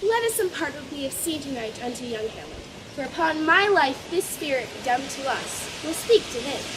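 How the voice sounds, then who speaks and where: The speaker uses a put-on character voice. Clear background noise is present. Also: moderate pace. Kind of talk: amateur Shakespeare stage acting. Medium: stage play.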